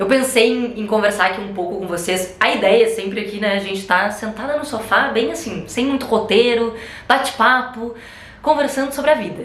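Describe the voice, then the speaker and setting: Animated in tone, a woman with a fairly high pitch and ordinary pitch variation speaks amid noticeable background noise and audible room echo. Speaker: travel content creator. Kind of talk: casual chat. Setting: sitting on a sofa at home. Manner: fast.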